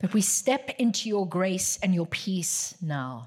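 Very slow, somewhat breathy delivery from a woman at medium pitch. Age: 60s. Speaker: guest preacher. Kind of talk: sermon. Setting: church.

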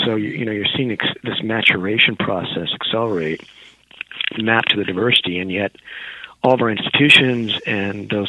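A fairly low-pitched man with an American accent at a fairly quick pace, against noticeable background noise. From rural California. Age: 40s. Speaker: professor. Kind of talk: interview.

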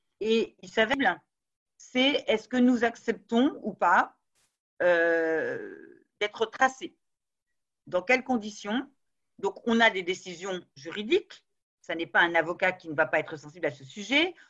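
Very slow and broken by long, frequent pauses, a woman's voice moves through very wide pitch swings and big swings in loudness. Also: fairly high pitch for a woman. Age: 50s. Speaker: business school law professor. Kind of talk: interview.

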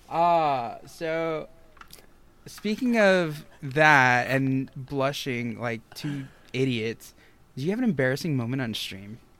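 Speaking at a very slow pace, a man with an American accent uses lively intonation and a fairly high pitch. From Michigan. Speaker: podcast host. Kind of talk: casual chat. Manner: animated.

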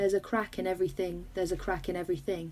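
Her voice has a dark, mellow tone at a medium pitch, with a British accent. The woman speaks at a fairly quick pace with ordinary pitch variation. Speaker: podcast host. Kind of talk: casual chat. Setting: video call.

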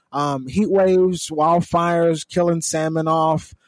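A man with an American accent and an unremarkable speaking voice talks at a fairly slow pace and a fairly high pitch, in a very clean recording with a silent background. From California. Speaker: news podcast co-host. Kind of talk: casual news commentary.

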